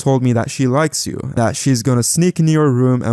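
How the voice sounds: With ordinary pitch variation, the voice reads in a natural way.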